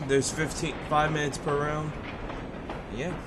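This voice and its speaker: Amid noticeable background noise and audible room echo, a man talks at a fairly high pitch. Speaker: gaming streamer and tournament commentator. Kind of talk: live commentary.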